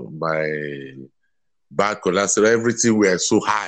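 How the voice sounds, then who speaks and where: Against a quiet background, a man speaks at a very deep, low pitch. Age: 50s. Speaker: civil servant sharing weight loss story. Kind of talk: interview testimony.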